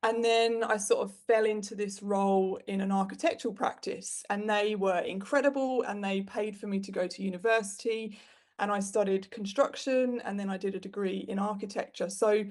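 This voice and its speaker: This voice, with a British accent, keeps a moderate pace and fairly even intonation with hardly any pauses, over a quiet background. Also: woman, medium pitch for a woman. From UK. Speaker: web designer and business owner. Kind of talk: interview. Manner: conversational, with fillers.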